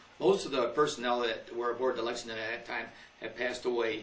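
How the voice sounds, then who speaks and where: A man's fairly even intonation at a moderate pace, in an American accent, with audible room echo and noticeable background noise. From US Midwest. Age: 80s+. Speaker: war veteran. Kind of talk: interview. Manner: halting.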